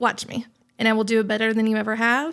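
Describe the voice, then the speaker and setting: A woman with a Southern US accent and a fairly high pitch speaks at a very fast pace on a very clean recording with a silent background. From US South. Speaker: business executive. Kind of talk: podcast interview. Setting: podcast recording.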